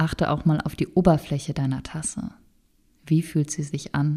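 A woman with a very deep, low pitch speaks at a fairly slow pace in a calm, soothing tone that is dark, mellow and somewhat breathy. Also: very clean recording, silent background. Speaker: meditation guide. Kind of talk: guided meditation. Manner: slow, calm, soothing, gently paced with pauses.

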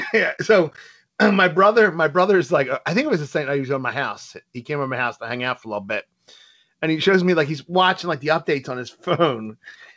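Against a quiet background, a man with an American accent talks at a very fast pace, his fairly high voice carrying lively intonation. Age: 30s. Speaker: podcast co-host. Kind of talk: casual chat.

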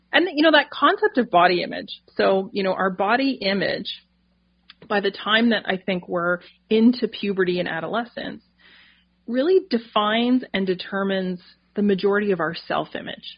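Medium-pitched and somewhat breathy, a woman's moderately paced voice with ordinary pitch variation. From Canada, northern New Brunswick. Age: 40s. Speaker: dietitian and naturopathic doctor. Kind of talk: interview conversation.

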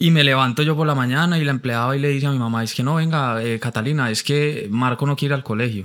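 In a very clean recording with a silent background, a man with a paisa accent talks fairly quickly at a medium pitch in an animated tone. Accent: paisa (Medellín) Colombian Spanish. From Colombia, Pereira and Bogotá. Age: 30s. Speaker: advertising creative and artist. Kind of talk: casual interview chat. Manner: animated, repetitive.

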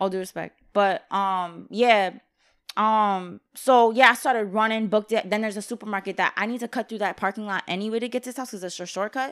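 Talking at a fairly quick pace, a woman keeps a fairly high pitch and fairly even intonation. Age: young. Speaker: podcast guest. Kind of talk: casual chat.

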